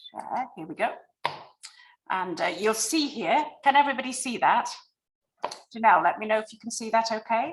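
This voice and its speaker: Her pitch sits fairly high, and this woman speaks in a British accent with lively intonation. She leaves long, frequent pauses, and her loudness swings a lot. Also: moderate pace. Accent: non-American, British. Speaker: library design consultant. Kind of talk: presentation on video call.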